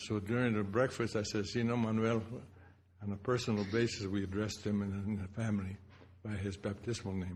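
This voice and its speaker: A man's fairly quick speech has a somewhat breathy quality. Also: fairly low pitch for a man. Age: 80s+. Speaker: speaker at memorial symposium. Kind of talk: personal reminiscence speech. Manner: halting.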